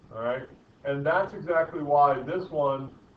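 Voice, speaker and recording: A man with a fairly high pitch speaks at a fairly slow pace. Noticeable background noise and audible room echo fill the recording. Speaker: physics teacher. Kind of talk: lecture.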